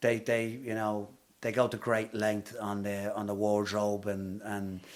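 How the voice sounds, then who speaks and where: A man speaks with an Irish accent at a fairly slow pace. His fairly low voice stays monotone, with flat intonation. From Ireland, Dublin (Blackrock). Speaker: actor. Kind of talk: interview.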